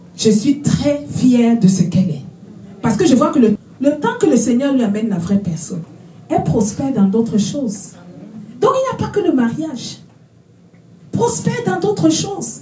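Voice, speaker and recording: Against noticeable background noise and audible room echo, a woman with a fairly high pitch sounds animated, swinging her pitch very widely at a moderate pace with long, frequent pauses. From Africa. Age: 60s. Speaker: prophetess, preacher. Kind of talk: sermon. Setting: conference with live audience.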